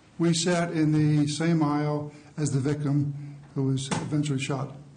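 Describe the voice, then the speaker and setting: In a room with audible echo and noticeable background noise, a man with a fairly high pitch speaks fairly slowly, his intonation monotone and flat and his loudness very even. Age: 60s. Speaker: eyewitness. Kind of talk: courtroom testimony. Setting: courtroom. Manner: halting.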